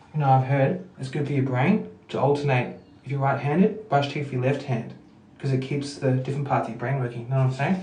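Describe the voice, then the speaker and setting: A quiet man with an Australian accent talks at a fairly quick pace in a fairly high pitch, his pitch varying an ordinary amount, with audible room echo and noticeable background noise. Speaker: livestreamer. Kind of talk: casual chat. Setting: at home. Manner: loud; trying to be quiet.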